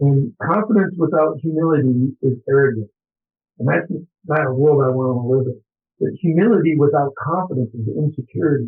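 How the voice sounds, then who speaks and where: A plain, everyday voice from a man, fairly high in pitch, with lively intonation and a fairly quick pace. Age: 60s. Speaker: college football coach. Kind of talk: interview.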